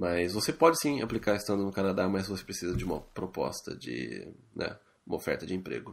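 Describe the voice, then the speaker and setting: Speaking at a fairly quick pace, a man with a fairly low pitch and vocal fry makes very wide pitch swings. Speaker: podcast co-host. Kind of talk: casual chat. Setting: Skype call.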